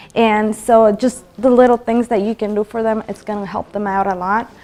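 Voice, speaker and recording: A woman speaks with a non-native accent at a fairly high pitch and in a monotone, flat intonation. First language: not English. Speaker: motivational talk show host. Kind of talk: motivational talk. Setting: studio. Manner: halting, with many fillers.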